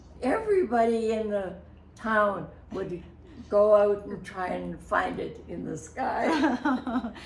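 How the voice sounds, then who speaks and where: A woman at a very slow pace, with big swings in loudness and noticeable background noise. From Canada. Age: 80s+. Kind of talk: interview answer.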